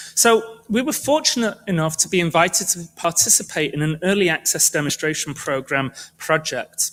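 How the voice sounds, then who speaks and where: In a British accent, a man with a high pitch talks at a moderate pace with lively intonation and hardly any pauses. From United Kingdom. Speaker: medical researcher. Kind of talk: presentation talk.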